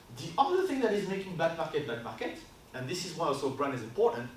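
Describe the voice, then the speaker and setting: In a French accent, a man with a high voice talks very fast amid noticeable background noise and audible room echo. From France. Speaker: brand consultancy co-founder. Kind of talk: workshop presentation. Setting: stage with audience. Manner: loud; casual.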